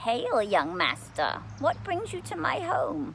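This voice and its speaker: A woman speaks in a put-on character voice at a fairly slow pace. Background noise is clearly audible. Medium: read story. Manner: smooth, coaxing, archaic.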